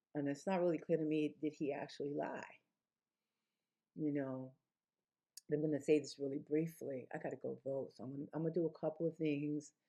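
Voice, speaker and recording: Her voice is very deep and low for a woman, monotone and flat, moving at a fairly quick pace broken by long, frequent pauses. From New York City, the Bronx. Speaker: vlogger. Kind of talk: casual monologue vlog. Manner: fast; halting.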